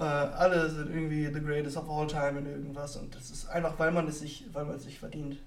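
Fairly quick with hardly any pauses, a man speaks in a fairly high, flat monotone with big swings in loudness, amid audible room echo and noticeable background noise. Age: 20s. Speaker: podcast host. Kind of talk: casual chat. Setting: live podcast recording.

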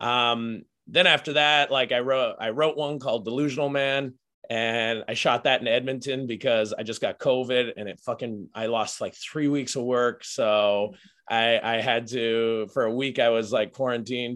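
Moving at a moderate pace, a man talks in a Canadian accent. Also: medium pitch for a man. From Saskatchewan, Canada. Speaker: comedian. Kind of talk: casual chat. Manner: animated.

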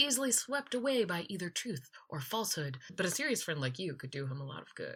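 The voice is bright and sharp, with vocal fry. It moves at a fairly quick pace through very wide pitch swings. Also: woman. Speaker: theater podcast co-host. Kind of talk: casual chat.

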